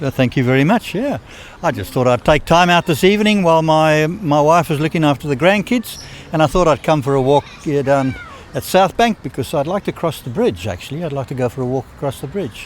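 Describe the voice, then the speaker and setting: Fairly high-pitched man, fairly quick pace, lively intonation, noticeable background noise. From South Africa. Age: 70s. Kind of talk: street interview answer. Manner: blunt; warm, determined.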